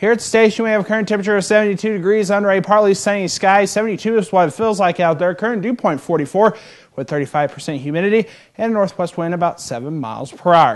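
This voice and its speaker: Upbeat in tone, a man speaks at a fairly quick pace with a high pitch. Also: ordinary pitch variation, quiet background. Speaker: weather forecaster. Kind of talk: TV weather forecast. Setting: studio. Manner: upbeat, conversational. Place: studio.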